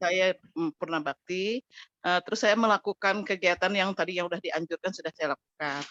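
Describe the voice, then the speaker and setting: A woman at medium pitch, with a bright, sharp tone and ordinary pitch variation, speaks at a moderate pace in a dry, close sound with no echo. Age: 60s. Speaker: retiree asking a question. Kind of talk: question from audience. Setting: video call, camera off. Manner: halting, hesitant.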